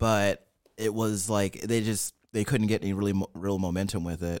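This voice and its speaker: A plain, everyday voice from a man with a fairly low pitch, ordinary pitch variation and a moderate pace, on a very clean recording with a silent background. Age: 30s. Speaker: podcast host. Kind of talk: casual banter.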